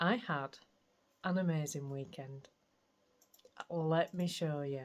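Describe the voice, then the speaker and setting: With a Yorkshire accent, a woman talks at a very slow pace in a very deep, low pitch, her intonation fairly even. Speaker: craft vlogger. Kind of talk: casual vlog chat.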